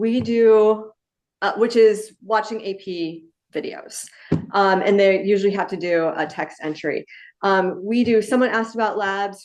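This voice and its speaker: A woman talks in a plain, everyday voice. Her pitch is medium and her intonation fairly even. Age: 60s. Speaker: physics teacher. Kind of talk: panel discussion.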